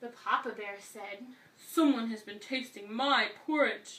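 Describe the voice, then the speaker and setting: A woman uses a cartoonish character voice at a fairly slow pace. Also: fairly high pitch for a woman. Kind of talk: children's story reading. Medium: puppet.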